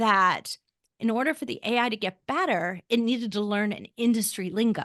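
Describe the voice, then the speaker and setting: Woman, fairly high pitch, dry, close sound with no echo and a quiet background. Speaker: podcast company co-founder. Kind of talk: interview. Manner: fast.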